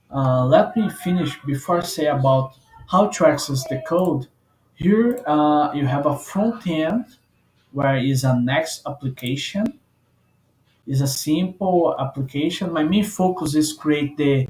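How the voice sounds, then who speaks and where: Fairly high and somewhat breathy, a man's voice moves at a fairly slow pace with lively intonation. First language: not English. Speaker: software developer. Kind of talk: tutorial. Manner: halting, many fillers.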